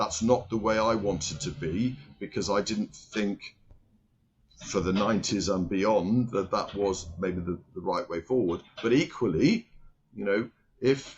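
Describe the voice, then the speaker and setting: The speaker is a man talking at a fairly slow pace. His pitch shows ordinary variation. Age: 60s. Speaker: company chairman. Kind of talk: interview. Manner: halting.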